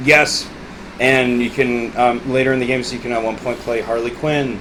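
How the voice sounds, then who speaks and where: A man's medium-pitched voice amid audible room echo and noticeable background noise. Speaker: gaming podcast host. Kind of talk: casual chat. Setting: at home with a friend. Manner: animated.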